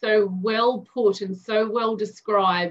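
A woman speaks very slowly with an Australian accent. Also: quiet background. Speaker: interview host. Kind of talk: interview questions. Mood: warm, amused. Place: home room. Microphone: video call.

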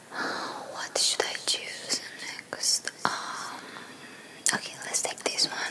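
Whispered speech moves at a very slow pace, broken by long, frequent pauses. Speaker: ASMR creator. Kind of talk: ASMR guess-the-trigger talk to camera. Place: home room. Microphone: studio mic.

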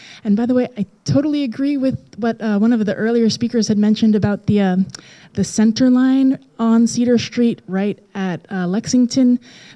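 A woman speaks at a moderate pace in a dark, mellow tone. The background is quiet. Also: ordinary pitch variation. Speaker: transit planner; presenter. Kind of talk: presentation. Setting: community meeting with audience. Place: meeting room. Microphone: handheld.

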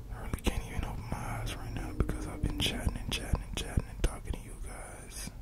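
Over loud background noise, a soft-spoken man talks at a fairly quick pace. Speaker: sleep content creator. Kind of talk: soft sleepy talk to viewers. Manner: sleepy, soft ASMR murmur. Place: home room. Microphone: studio mic.

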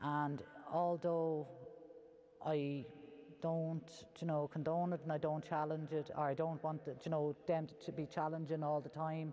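A woman with an Irish accent, very deep and low in pitch, dark and mellow in tone, monotone and flat, at a fairly slow pace with long, frequent pauses over light background noise. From Ireland. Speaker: Traveller community advocate; guest. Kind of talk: panel discussion. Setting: cathedral with live audience. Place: church. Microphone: lapel.

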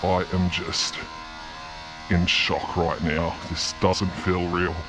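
A man with a very deep, low voice in a monotone, flat delivery at a very slow pace, with clear music in the background. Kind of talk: casual vlog chat. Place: factory. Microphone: phone near.

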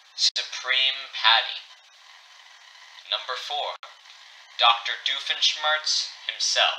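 Over noticeable background noise, a man speaks very slowly in a deadpan tone, his fairly high voice keeping a fairly even intonation. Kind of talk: emergency broadcast fiction. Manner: grave, urgent, formal newsreader tone; deadpan delivery of absurd names.

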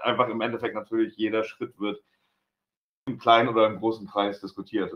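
This is a man talking. His pace is fairly quick. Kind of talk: interview answer. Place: shop. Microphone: camera far.

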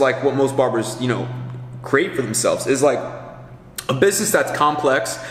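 With faint background noise, a man speaks at a medium pitch in a fairly bright tone.

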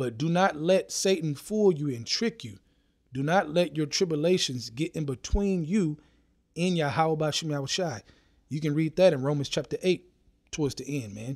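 A man with a plain, everyday voice speaks at a fairly high pitch and a moderate pace. His intonation is lively, and the recording is very clean with a silent background. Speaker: preacher. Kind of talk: sermon. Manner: earnest, exhortative, urging listeners with repeated "man" and "okay" fillers; rhythmic, scripture-quoting, preacher cadence.

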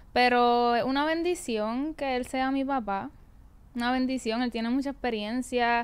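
A woman with a high voice speaks at a fairly slow pace, her loudness very even and her intonation fairly even. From Puerto Rico. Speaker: singer and former podcast panelist; podcast panelist. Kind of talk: interview. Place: studio. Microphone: studio mic.

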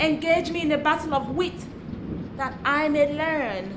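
The voice is a woman's, high in pitch. She speaks at a fairly slow pace. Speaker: performance poet. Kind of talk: poetry reading. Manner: dramatic.

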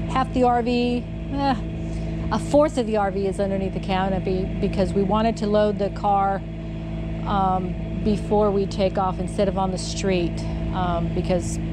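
A woman at a fairly slow pace over loud background noise. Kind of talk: casual vlog chat. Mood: cheerful, laughing. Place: street. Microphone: phone near.

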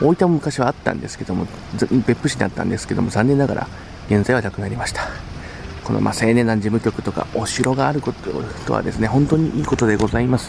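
Over noticeable background noise, a man talks at a very fast pace with ordinary pitch variation, the sound dry with no echo. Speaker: youth association leader. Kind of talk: casual talk to camera. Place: street. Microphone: phone near.

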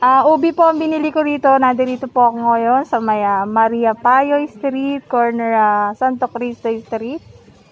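A woman speaks at a fairly slow pace with hardly any pauses. Her pitch is high, with ordinary variation. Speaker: vlogger. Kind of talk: casual vlog narration. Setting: outdoors at a street market.

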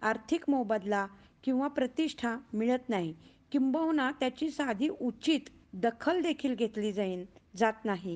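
Against a quiet background, a woman speaks at a fairly high pitch with lively intonation in an unremarkable speaking voice. Her loudness stays very even. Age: 50s. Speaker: recitation contest participant. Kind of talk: prepared speech.

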